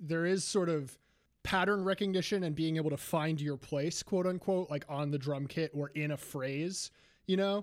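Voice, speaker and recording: A man talks at a moderate pace and a fairly high pitch in an unremarkable speaking voice. The recording is very clean, with a silent background. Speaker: podcast host. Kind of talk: casual interview.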